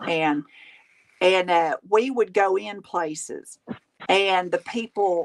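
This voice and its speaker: Recorded dry and close with no echo, a woman with a Southern US accent talks at a medium pitch with ordinary pitch variation. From Tennessee. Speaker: crafter and live streamer. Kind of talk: casual chat. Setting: live stream. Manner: animated.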